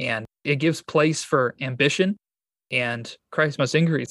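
A man speaks with a Michigan accent and fairly even intonation. The sound is dry and close, without echo. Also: quiet background. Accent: Midwestern American (Michigan). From Michigan, US. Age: 20s. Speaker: pastor and church planter. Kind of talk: interview.

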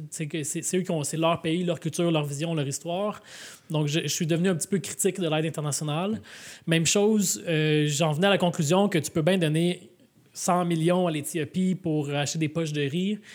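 A man speaks at a high pitch and moderate pace with fairly even intonation. The recording is very clean, with a silent background. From Quebec, Laval. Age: 30s. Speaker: mayor and author. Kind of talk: live podcast interview. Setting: public event with audience.

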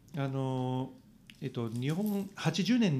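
A man with an Italian accent speaks at a medium pitch in a dark, mellow tone with lively intonation. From Italy. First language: Italian (speaking Japanese). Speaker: cycling journalist. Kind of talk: casual interview. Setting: studio. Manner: animated.

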